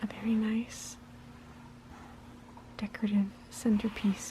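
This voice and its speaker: A soft-spoken voice leaves long, frequent pauses amid noticeable background noise. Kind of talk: ASMR soft-spoken book flip-through. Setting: home recording without microphone.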